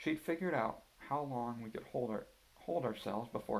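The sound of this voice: An unforced reading voice is what the speaker uses.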